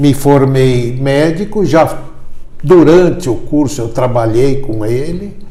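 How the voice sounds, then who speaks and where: Speaking at a very slow pace, a man has a fairly high pitch with ordinary pitch variation. Room echo is audible, along with noticeable background noise. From Brazil, São Paulo. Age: 70s. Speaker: orthopedic foot surgeon. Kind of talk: interview.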